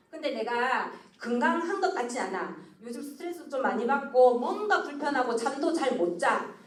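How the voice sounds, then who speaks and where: Amid audible room echo and noticeable background noise, a woman speaks in a high pitch with very wide pitch swings. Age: 50s. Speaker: network marketing presenter. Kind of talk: sales presentation. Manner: fast.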